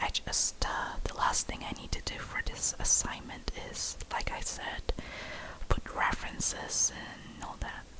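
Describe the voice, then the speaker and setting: Through noticeable background noise, a woman whispers at a fairly slow pace. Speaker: ASMR creator. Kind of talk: ASMR whispered chat and reading aloud. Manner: whispering; halting, many fillers.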